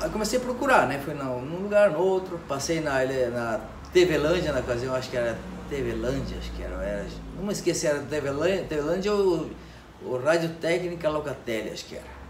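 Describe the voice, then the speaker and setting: Amid noticeable background noise and audible room echo, a man talks at a fairly quick pace with a fairly high pitch, lively intonation and big swings in loudness. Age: 60s. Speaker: electronics repair technician. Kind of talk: interview. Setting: electronics repair shop.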